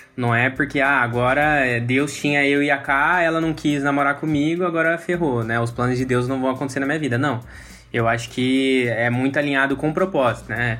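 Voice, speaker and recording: At a medium pitch, a man speaks with very even loudness and fairly even intonation. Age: 20s. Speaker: church lay leader. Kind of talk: casual chat. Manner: halting.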